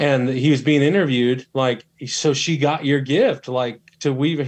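A man with a normal speaking voice talks at a moderate pace and a medium pitch, keeping his intonation fairly even. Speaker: group participant. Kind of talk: casual group discussion.

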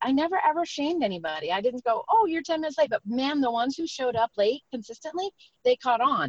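Her voice is high for a woman, with very wide pitch swings. The sound is dry and close, with no echo. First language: not English. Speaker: network marketing entrepreneur. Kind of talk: interview. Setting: in a car on a call.

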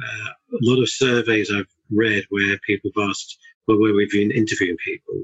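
A man with a southern English accent, medium pitch, fairly even intonation and a moderate pace. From Surrey, southern England. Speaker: chartered building surveyor. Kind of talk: casual interview chat.

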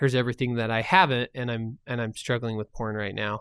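On a very clean, dry, close recording with a silent background and no echo, a man speaks at a fairly quick pace in a plain, everyday voice at a medium pitch. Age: 30s. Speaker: recovering addict, nonprofit founder. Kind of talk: testimony.

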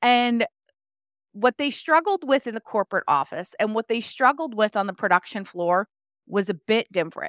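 In an unremarkable speaking voice, a woman talks at a fairly high pitch and a moderate pace with lively intonation. The recording is very clean, with a silent background and a dry, close sound lacking any echo. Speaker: health coach. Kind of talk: casual interview chat.

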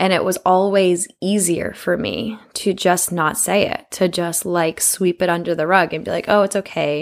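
At a moderate pace with hardly any pauses, a woman speaks in an ordinary speaking voice at a medium pitch with fairly even intonation. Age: 20s. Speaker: podcast host. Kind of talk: casual monologue.

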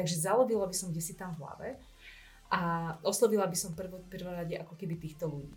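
Somewhat breathy and fairly low-pitched, a woman speaks at a very fast pace with fairly even intonation and big swings in loudness, with audible room echo around her. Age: 30s. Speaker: entrepreneur and marketer. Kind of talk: casual interview. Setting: studio.

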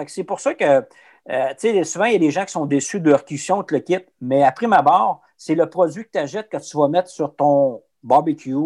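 In a Quebec accent, a man with a fairly high pitch and ordinary pitch variation talks at a moderate pace on a very clean recording with a silent background and a dry, close sound with no echo. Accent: Québécois French. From Quebec, Abitibi. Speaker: business development rep for a meat producer. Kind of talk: casual interview. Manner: hesitant, many fillers and repetitions.

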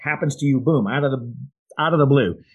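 With an American accent, a man uses an unremarkable speaking voice pitched fairly high. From Iowa. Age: 60s. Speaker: podcast co-host, insurance agent. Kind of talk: casual chat.

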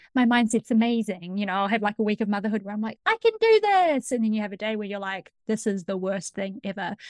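A woman with a fairly high pitch speaks at a very fast pace with hardly any pauses. Her intonation stays fairly even. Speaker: podcast host and coach. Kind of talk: interview, casual chat.

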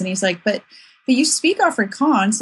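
A woman talks at a very fast pace. Her voice is somewhat breathy, with lively intonation. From South Africa. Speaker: author and blogger. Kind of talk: casual interview chat.

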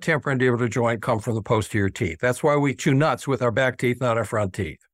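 A man with an American accent, dry and close with no echo, on a very clean recording with a silent background. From US South, Middle Tennessee. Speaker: oral surgeon. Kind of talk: interview.

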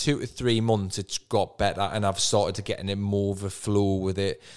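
With a Geordie accent, this man talks at a fairly low pitch and with fairly even intonation. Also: very clean recording, silent background. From northern England, Newcastle. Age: 30s. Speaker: property investor and coach. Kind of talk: podcast interview.

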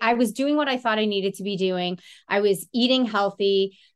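A woman speaks in a normal speaking voice against a quiet background. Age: 40s. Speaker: certified fitness and nutrition coach. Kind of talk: casual interview chat.

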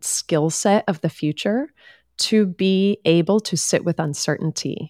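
A woman with a plain, everyday voice talks at a fairly slow pace with ordinary pitch variation, recorded very clean with a silent background and a dry, close sound with no echo. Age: 40s. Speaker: life coach and podcast host. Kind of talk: casual interview conversation.

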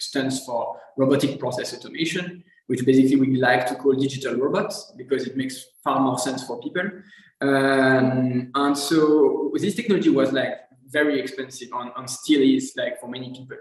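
A man speaks with a French accent at a moderate pace. His pitch is medium and his intonation fairly even. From France. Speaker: technology entrepreneur specialized in automation. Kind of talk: casual interview conversation. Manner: halting, many fillers.

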